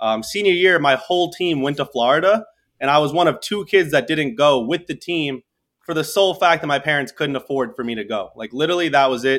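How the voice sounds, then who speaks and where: An American-accented man with an ordinary speaking voice talks at a fairly quick pace, his fairly high pitch carried by lively intonation. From New York, Staten Island. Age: 20s. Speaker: entrepreneur. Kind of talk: interview storytelling.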